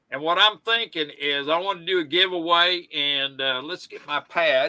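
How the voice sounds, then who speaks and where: In a Southern US accent, a man talks at a high pitch. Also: ordinary pitch variation, moderate pace. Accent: Southern twang. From US South. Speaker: live stream host. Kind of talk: casual chat.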